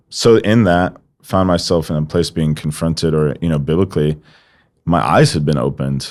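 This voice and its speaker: There's a man with an American accent. His pitch is very deep and low. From US, Washington DC and Colorado Springs. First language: not English. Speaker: evangelist. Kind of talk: podcast interview, testimony.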